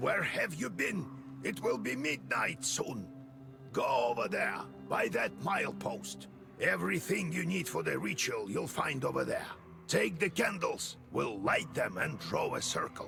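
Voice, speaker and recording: Clear background noise sits behind a man doing a put-on character voice. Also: moderate pace. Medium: video game. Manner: gruff, instructive.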